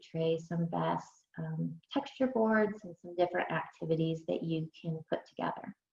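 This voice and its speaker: Woman speaking at a moderate pace. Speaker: early intervention specialist. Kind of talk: webinar presentation.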